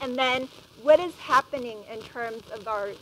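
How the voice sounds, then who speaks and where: This woman talks loudly at a fairly slow pace, with a high pitch and ordinary pitch variation. Noticeable background noise is heard behind her. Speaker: educator and parenting speaker. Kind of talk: public talk to parents. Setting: stage with live and Zoom audience. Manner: animated.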